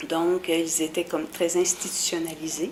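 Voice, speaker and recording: Over noticeable background noise, a woman with a fairly low pitch speaks at a very slow pace. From Quebec, Bas-Saint-Laurent. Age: 50s. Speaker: special education worker. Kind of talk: oral history interview. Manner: hesitant, many fillers.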